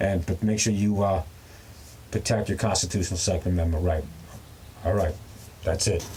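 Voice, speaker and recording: The pace is fairly quick, with long, frequent pauses and very even loudness. The tone is dark and mellow, and somewhat breathy. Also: man, very deep, low pitch for a man. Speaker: prepping and survival YouTuber. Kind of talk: casual rant to camera. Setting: outdoors in the back of a truck. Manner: fast; animated.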